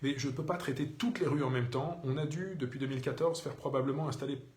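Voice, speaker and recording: A man speaks at a medium pitch and a very fast pace, with ordinary pitch variation. Noticeable background noise and audible room echo are present. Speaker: mayor answering citizens' questions. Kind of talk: live Q&A broadcast. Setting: Facebook live video. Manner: hesitant, many fillers.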